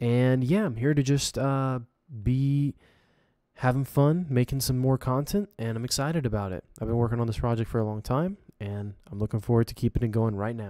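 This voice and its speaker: Recorded very cleanly with a silent background and a dry, close sound with no echo, a man speaks at a moderate pace in a relaxed, dark, mellow tone with medium pitch and ordinary pitch variation. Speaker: game developer and live streamer. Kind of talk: casual live stream commentary. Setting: live stream at home, late at night. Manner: kept quiet, not too loud; casual, relaxed.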